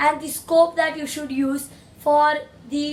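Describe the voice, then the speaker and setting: A woman with a non-native accent speaks at a very slow pace in a high pitch. Her intonation is monotone and flat. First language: not English. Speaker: gaming YouTuber. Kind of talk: gaming tutorial. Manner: halting.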